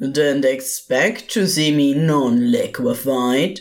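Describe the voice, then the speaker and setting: A put-on, growling character voice at a low-to-middle pitch and a very slow pace. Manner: giddy, mocking, theatrical.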